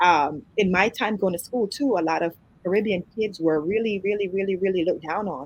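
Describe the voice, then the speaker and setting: The woman's voice is medium in pitch. She talks at a moderate pace. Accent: American. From Jamaica, Kingston. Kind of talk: interview.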